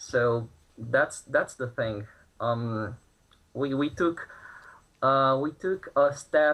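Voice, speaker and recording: Speaking very slowly with a Brazilian Portuguese accent, a man keeps a fairly high pitch and ordinary pitch variation. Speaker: protester. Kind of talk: news interview. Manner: halting, many fillers.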